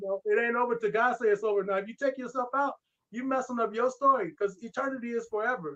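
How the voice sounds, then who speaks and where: Talking very fast in a raised, projected voice, a man has an extremely high pitch, a bright, sharp tone and ordinary pitch variation. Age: 60s. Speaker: martial arts grandmaster and actor. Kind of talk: casual interview chat. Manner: animated.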